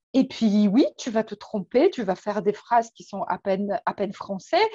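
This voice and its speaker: In a Polish accent, a woman speaks with a dark, mellow tone and lively intonation, in a dry, close sound with no echo. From Poland. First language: Polish (speaking French). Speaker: weight and emotions coach. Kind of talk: interview. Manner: hesitant, many fillers.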